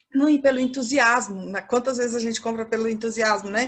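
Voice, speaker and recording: This woman has a Minas Gerais accent. Her voice sits high in pitch. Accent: mineiro (Minas Gerais). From Minas Gerais, Brazil, near Bahia border. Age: 50s. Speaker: fashion professor. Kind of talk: lecture.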